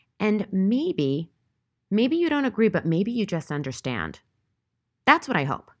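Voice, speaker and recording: Over a silent background in a very clean recording, a woman talks at a moderate pace with vocal fry. Her pitch swings very widely. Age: 40s. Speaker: podcast host. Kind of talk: solo monologue commentary.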